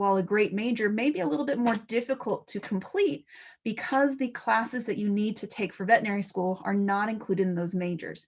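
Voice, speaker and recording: The recording is very clean, with a silent background. A woman speaks at medium pitch and a moderate pace, with ordinary pitch variation. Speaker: pre-veterinary academic advisor. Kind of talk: information session presentation. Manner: animated.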